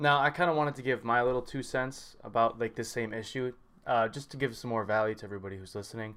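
The recording is very clean, with a silent background. A man with a medium pitch talks at a very fast pace, his pitch varying in an ordinary way. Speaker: podcast host and lifter. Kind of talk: casual interview. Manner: upbeat.

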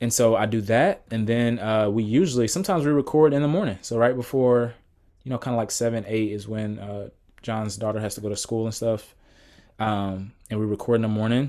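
With an American accent, a man talks at a fairly quick pace in a dark, mellow, medium-pitched tone, captured in a very clean recording with a silent background. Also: ordinary pitch variation. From US South, Atlanta, Georgia. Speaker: PhD student and Bible podcaster. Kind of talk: casual interview.

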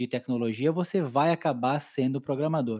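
The pace here is moderate. It is a very clean recording with a silent background. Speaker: podcast host. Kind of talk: casual interview chat.

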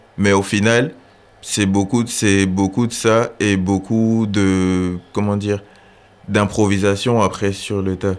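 Monotone and flat in intonation, a man with a fairly low pitch speaks at a very slow pace. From Gabon. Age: 20s. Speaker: photographer and accountant. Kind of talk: interview.

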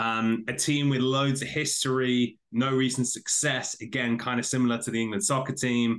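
At a moderate pace, a man talks at medium pitch with a British accent. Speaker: podcaster. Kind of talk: casual interview.

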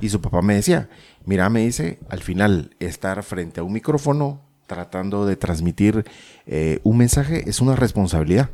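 With lively intonation, a man speaks at a moderate pace in a fairly low, dark, mellow voice. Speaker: podcaster. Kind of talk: casual chat.

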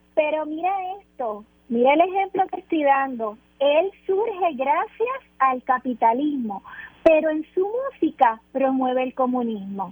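The sound is dry and close with no echo, though noticeable background noise is present. A woman speaks at a high pitch and a fairly slow pace, her pitch swinging very widely. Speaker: political commentator. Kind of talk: radio panel discussion.

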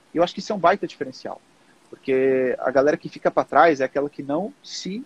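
The recording of this man is dry and close with no echo, his fairly quick speech showing ordinary pitch variation. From Portugal. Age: 30s. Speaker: digital marketing specialist. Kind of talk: casual interview.

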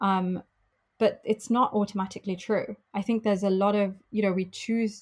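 Speaking in a British accent, a woman sounds somewhat breathy, with flat, monotone intonation and very even loudness, on a very clean recording with a silent background. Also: medium pitch for a woman, moderate pace. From UK. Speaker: travel company founder. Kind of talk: interview.

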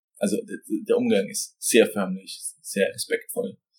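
A man at a fairly slow pace. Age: 20s. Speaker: business owner. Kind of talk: interview answers.

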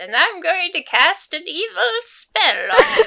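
An extremely high-pitched put-on character voice, raised and projected. The pace is fairly slow. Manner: menacing, theatrical, evil.

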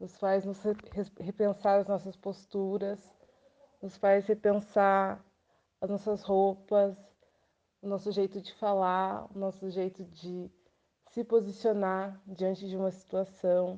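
Speaking at a very slow pace with long, frequent pauses, a woman uses a dark, mellow tone and monotone, flat intonation. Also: medium pitch for a woman. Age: 20s. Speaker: pedagogue. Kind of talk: interview answers.

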